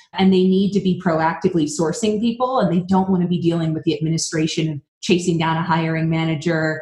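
A woman talks at a fairly quick pace in a fairly low pitch with fairly even intonation. Noticeable background noise sits behind her. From Vermont, New England. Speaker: recruiting software executive. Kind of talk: interview. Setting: podcast.

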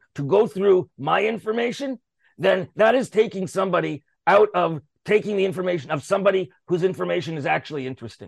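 Loud and lively in intonation, a man speaks at a fairly quick pace and high pitch, the sound dry and close with no echo over a quiet background. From Canada. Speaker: radio show host. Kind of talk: casual chat. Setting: radio studio. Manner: halting, many fillers.

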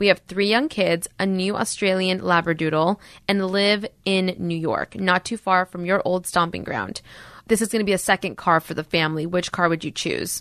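An unremarkable speaking voice from a woman, medium pitch, fairly even intonation, moderate pace, dry, close sound with no echo, quiet background. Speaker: podcast co-host. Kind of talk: casual chat.

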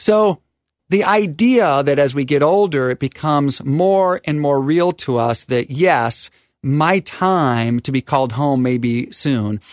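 Against a quiet background, a man with an ordinary speaking voice speaks at a fairly slow pace. His fairly high pitch has lively intonation, and the sound is dry and close with no echo. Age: 50s. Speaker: estate and tax attorney, radio host. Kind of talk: radio talk show with co-host.

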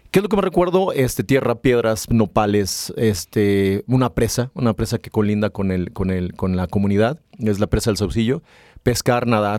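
Recorded very cleanly against a silent background, a man's fairly low voice sounds dry and close with no echo, with ordinary pitch variation. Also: moderate pace. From Mexico, rural Aguascalientes (Rincón de Romos). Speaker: business executive. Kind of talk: interview. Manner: halting, many fillers.

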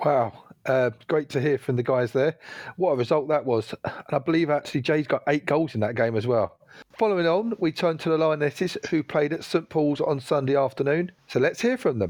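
Delivered in a plain, everyday voice, the speech has a moderate pace, ordinary pitch variation and very even loudness. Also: man, fairly high pitch for a man. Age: 40s. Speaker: podcast host. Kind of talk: casual chat.

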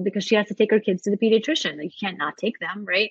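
In a New York accent, a woman speaks at a medium pitch. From New York (Brooklyn), born in Soviet Russia. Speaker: writer. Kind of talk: casual interview. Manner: animated.

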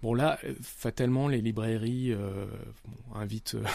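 The tone is dark and mellow, with fairly even intonation. The recording is very clean, with a silent background. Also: man. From France, Nice. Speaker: novelist. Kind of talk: interview. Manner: halting.

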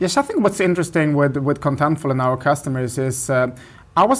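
A man with a Swedish accent speaks at a fairly high pitch. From northern Sweden. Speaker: tech product executive. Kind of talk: interview. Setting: office. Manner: halting.

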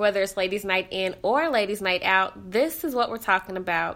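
A woman's animated voice, bright and sharp in tone, at a medium pitch and moderate pace with ordinary pitch variation. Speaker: podcast host. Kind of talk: casual interview chat. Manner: animated, laughs often.

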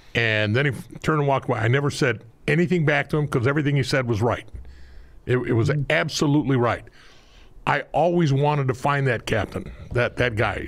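The voice has vocal fry and very even loudness at a fairly quick pace. Long pauses come often. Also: man. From Mexican-American, US. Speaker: retired homicide detective, war veteran. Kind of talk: interview storytelling.

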